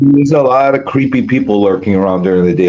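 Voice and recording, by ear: Speaking at a fairly quick pace, a man has fairly low pitch and lively intonation. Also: slightly mellow tone.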